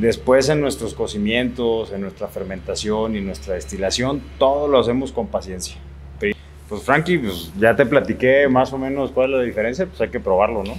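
With faint music in the background, a man talks at a moderate pace. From Arandas, Jalisco, Mexico; Jalisco, Mexico. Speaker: tequila distillery owner. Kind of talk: casual interview and tasting tour. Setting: distillery on location. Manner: halting.

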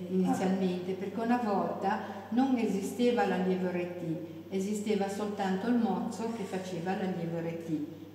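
Audible room echo and light background noise surround a woman whose intonation stays fairly even. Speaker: former ship radio operator. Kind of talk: interview answer.

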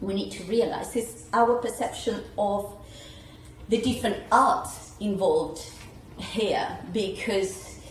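A woman's medium-pitched voice at a very slow pace, with ordinary pitch variation, big swings in loudness and long, frequent pauses, amid audible room echo and noticeable background noise. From Uruguay. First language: Spanish. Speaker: translation studies scholar. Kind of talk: panel discussion. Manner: halting.

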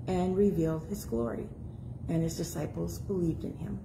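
Noticeable background noise behind a woman at a moderate speed. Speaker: scripture reader. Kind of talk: scripture reading. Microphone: phone near.

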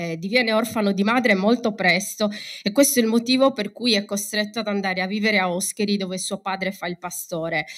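In an unremarkable speaking voice, a woman talks at a fairly quick pace with a medium pitch and ordinary pitch variation. The background is quiet. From Sardinia. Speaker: university lecturer. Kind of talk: conference talk. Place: hall. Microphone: podium.

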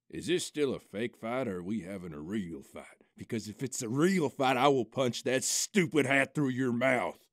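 A man's gruff, put-on character voice at medium pitch and moderate pace. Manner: blustering, gruff, wounded pride.

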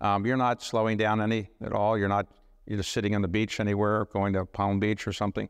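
Against a quiet background, a man speaks at a moderate pace in a fairly low pitch. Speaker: talk show host. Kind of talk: interview questions. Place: stage.

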